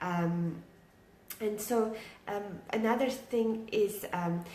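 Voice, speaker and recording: Noticeable background noise and audible room echo surround the recording. A woman speaks at a medium pitch with fairly even intonation. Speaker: online business coach. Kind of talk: live stream talk to viewers. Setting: at home, live video. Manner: quiet, keeping voice down; many filler words, halting.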